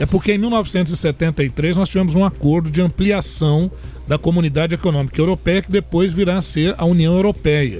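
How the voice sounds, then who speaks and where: A man talks at a moderate pace with a high pitch and fairly even intonation. His loudness stays very even, with noticeable background noise behind him. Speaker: history professor and commentator. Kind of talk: radio news analysis.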